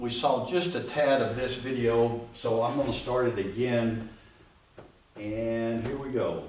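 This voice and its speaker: A man speaks fairly slowly at a medium pitch with fairly even intonation. Noticeable background noise and audible room echo fill the recording. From Appalachia, US South. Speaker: church class teacher. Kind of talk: class lecture. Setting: classroom. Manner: casual.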